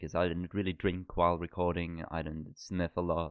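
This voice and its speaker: With a Norwegian accent, a man speaks at a fairly quick pace. His pitch is very deep and low. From Norway. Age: 20s. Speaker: podcast co-host. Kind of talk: casual chat.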